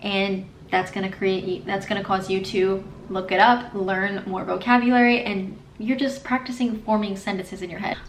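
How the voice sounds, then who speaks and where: With noticeable background noise, a woman with an American accent speaks in an upbeat tone at a moderate pace and a medium pitch. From United States. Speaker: Spanish learner and YouTuber. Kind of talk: casual talk to camera.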